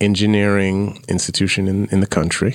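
On a very clean recording with a silent background, a man with an American accent speaks at a moderate pace. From Brooklyn, New York. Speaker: business professor. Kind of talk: casual interview. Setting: studio.

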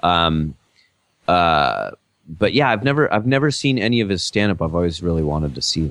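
Music plays behind a man with a fairly low voice. He speaks at a moderate pace with very wide pitch swings. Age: 30s. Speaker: podcast host and comedian. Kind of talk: casual chat.

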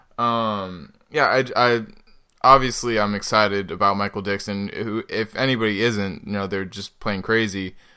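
A man speaks with fairly even intonation and a bright, sharp tone. The recording is very clean, with a silent background. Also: fairly low pitch for a man, moderate pace. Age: 20s. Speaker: sports podcast co-host. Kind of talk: casual chat. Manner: hesitant, many fillers.

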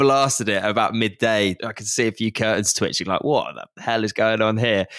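A man talks at a moderate pace. He has an ordinary speaking voice, pitched in the medium range. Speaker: co-host interviewing guest. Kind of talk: live podcast interview. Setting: stage with live audience.

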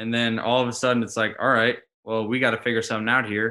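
A medium-pitched man with an American accent and a bright, sharp tone. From US Midwest (St. Louis). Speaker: football player. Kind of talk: interview.

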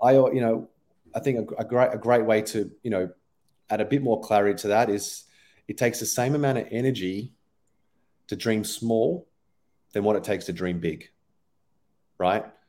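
A man with an Australian accent speaks at medium pitch and a moderate pace, his tone dark and mellow with ordinary pitch variation. He leaves long, frequent pauses, and the recording is very clean with a silent background. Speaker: performance coach. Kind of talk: casual interview.

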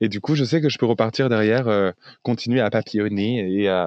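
A man at a fairly quick pace, medium pitch, ordinary pitch variation. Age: 20s. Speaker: sex worker and online activist. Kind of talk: casual interview. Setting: podcast interview. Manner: hesitant, repeats words.

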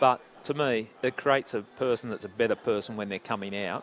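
Fairly quick speech from a man in an Australian accent, at a medium pitch with ordinary pitch variation. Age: 60s. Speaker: former homicide detective. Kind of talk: casual interview. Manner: halting.

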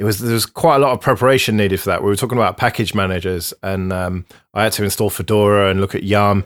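On a very clean recording with a silent background, a man with an English accent speaks at a fairly low pitch and a fairly quick pace, with ordinary pitch variation. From England. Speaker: podcast host. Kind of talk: casual chat.

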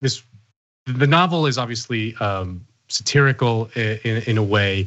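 A man with an ordinary speaking voice talks at a fairly slow pace with lively intonation. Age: 30s. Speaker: podcast host. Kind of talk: interview.

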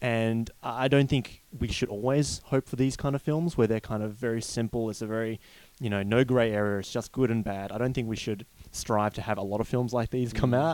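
A man's medium-pitched voice with an Australian accent, fairly quick pace and fairly even intonation. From Perth, Australia. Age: 20s. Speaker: film critic. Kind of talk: casual chat.

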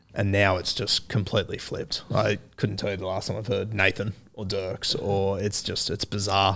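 A man with a fairly low pitch and an Australian accent speaks at a moderate pace in a monotone, flat intonation, with hardly any pauses. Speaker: rugby league podcaster. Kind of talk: casual chat. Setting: studio. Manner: halting.

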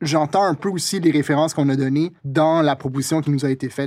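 On a very clean recording with a silent background, a man talks at a very fast pace in a fairly high pitch with fairly even intonation. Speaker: podcast host and brand strategist. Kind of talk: casual chat. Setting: studio.

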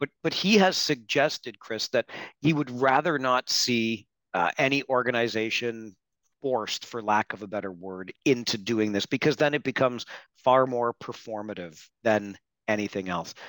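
A man with a Canadian accent at a medium pitch and moderate pace, with ordinary pitch variation and an ordinary speaking voice, in a very clean recording with a silent background and a dry, close sound with no echo. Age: 50s. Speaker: hockey podcast host. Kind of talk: interview.

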